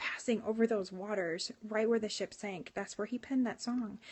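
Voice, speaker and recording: A woman's normal speaking voice, medium in pitch, with fairly even intonation and a moderate pace. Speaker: livestreamer and church worship leader. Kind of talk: live stream devotional talk. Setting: live phone stream.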